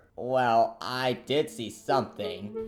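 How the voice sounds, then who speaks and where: A man's put-on character voice at a medium pitch. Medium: audio drama.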